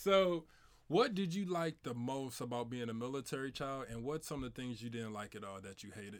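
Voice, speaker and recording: A man with a St. Louis accent, medium pitch, lively intonation and a fairly quick pace, on a very clean recording with a silent background. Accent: St. Louis Midwestern American. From St. Louis, Missouri. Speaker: podcast host. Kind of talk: casual chat.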